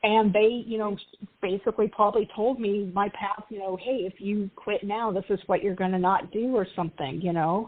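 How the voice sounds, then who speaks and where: A woman with an unremarkable speaking voice talks at a moderate pace. Her pitch is medium and her intonation fairly even. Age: 40s. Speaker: tarot author. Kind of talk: casual chat.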